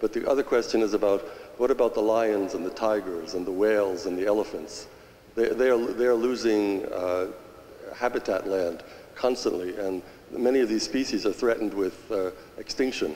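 A man with a plain, everyday voice speaks at a fairly low pitch. He keeps a moderate pace with ordinary pitch variation. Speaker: audience member. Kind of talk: audience question. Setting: church with audience. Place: church.

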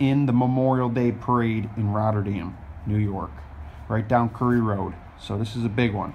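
A man speaks at a moderate pace with fairly even intonation over light background noise. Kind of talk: casual vlog chat. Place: garage. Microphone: phone near.

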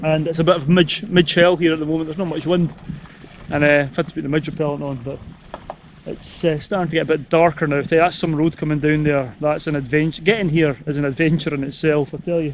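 Here a man talks at a very fast pace with fairly even intonation. The sound is dry with no echo, over light background noise. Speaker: adventure vlogger. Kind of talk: casual vlog chat. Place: open country. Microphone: phone near.

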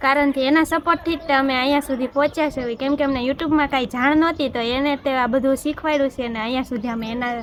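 Against noticeable background noise, a woman speaks in a high pitch with fairly even intonation. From Gujarat, Bhavnagar. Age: 20s. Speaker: vlogger. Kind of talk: Q&A vlog chat.

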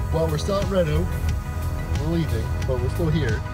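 Clear music plays in the background. Over it, a man is speaking. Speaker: travel vlogger. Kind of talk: casual vlog chat. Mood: cheerful, relaxed. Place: car. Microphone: phone near.

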